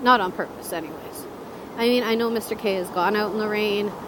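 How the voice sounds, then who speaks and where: A woman with a fairly high pitch is heard with audible room echo and noticeable background noise. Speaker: motorcycle vlogger. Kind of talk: casual vlog while riding. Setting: outdoors on a motorcycle, in helmet. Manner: loud.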